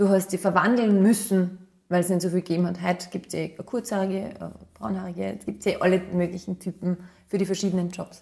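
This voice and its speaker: A woman talks at a very fast pace in an Upper Austrian accent, her medium-pitched voice somewhat breathy. Her tone is dark and mellow. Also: fairly even intonation. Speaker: model and former athlete. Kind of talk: interview.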